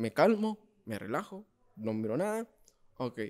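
A man's dark, mellow voice at a fairly slow pace, full of very wide pitch swings, over a quiet background. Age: 20s. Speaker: podcast host. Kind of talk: casual chat. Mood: animated storytelling, humorous. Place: cafe. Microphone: studio mic.

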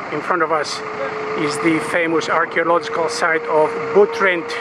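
A fairly slow delivery over noticeable background noise, with a dry sound and no echo. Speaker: travel vlogger. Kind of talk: casual travel commentary. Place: boat. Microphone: phone near.

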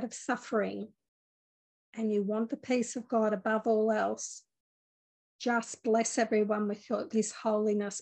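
The tone is calm and gentle, with flat, monotone intonation and a fairly slow pace. The background is quiet. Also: woman. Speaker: spiritual teacher leading a meditation. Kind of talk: guided meditation. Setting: online video group session. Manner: calm, gentle, soothing, slow-paced. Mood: calm, gentle, warm. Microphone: phone near.

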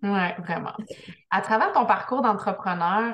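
A woman with a Quebec accent, medium in pitch, at a fairly slow pace with fairly even intonation. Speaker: business coach, interview host; podcast host interviewer. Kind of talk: interview. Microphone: video call.

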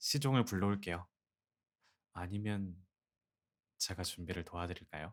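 At a moderate pace, a man with a very deep, low voice and a gentle tone speaks with ordinary pitch variation and long, frequent pauses. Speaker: ASMR roleplay voice actor. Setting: close-mic studio recording, speaking to a listener as a wife. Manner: soft-spoken, gentle, tender, coaxing; playful, warm, with soft laughs.

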